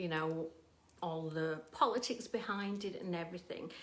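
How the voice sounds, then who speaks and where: Her pitch fairly low, a woman with an English accent speaks at a very slow pace. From England. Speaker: painter. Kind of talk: casual livestream chat. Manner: hesitant, many ums.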